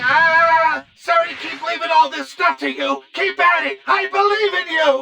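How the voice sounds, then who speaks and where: The speed is moderate. The cartoonish character voice reaches an extremely high pitch. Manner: nervous, excuse-making.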